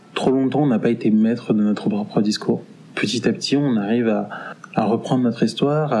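A man's medium-pitched voice with fairly even intonation, over noticeable background noise. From Paris region, France. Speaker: interviewee sharing experiences. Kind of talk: testimony.

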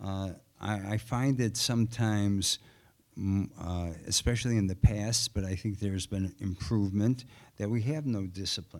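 A speaker with a Chicago accent is heard in a very clean recording with a silent background. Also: man, ordinary pitch variation, moderate pace. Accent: Chicago American. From Chicago, South Side. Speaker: former city alderman, political candidate. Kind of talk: candidates forum debate. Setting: stage with audience.

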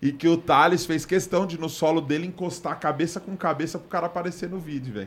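This man talks at a very fast pace with hardly any pauses, his pitch high and his intonation fairly even. His loudness swings a lot, and the recording is very clean with a silent background. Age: 20s. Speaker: podcast host. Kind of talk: casual chat.

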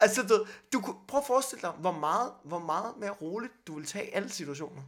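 A man with a high pitch talks at a very fast pace with lively intonation. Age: 20s. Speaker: stand-up comedian. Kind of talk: casual chat.

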